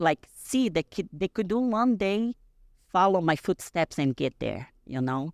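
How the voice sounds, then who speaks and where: With a Portuguese accent and a fairly low pitch, a woman is heard in a dry, close recording with no echo. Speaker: bodybuilding champion. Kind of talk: podcast interview. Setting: podcast studio. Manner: halting.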